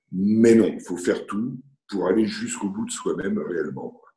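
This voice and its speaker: At a fairly slow pace, a man speaks. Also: long, frequent pauses. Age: 60s. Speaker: retired business owner. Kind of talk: interview.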